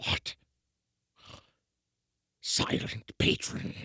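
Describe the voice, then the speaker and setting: Putting on a raspy character voice, a man speaks in a dry, close sound with no echo. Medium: audio drama. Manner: cautious, afraid.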